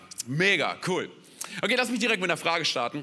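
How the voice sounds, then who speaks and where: A man speaks at a very fast pace with very wide pitch swings. His tone is bright, sharp, animated and energetic. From Berlin, Germany. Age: 30s. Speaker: guest pastor. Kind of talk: sermon. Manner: animated, energetic.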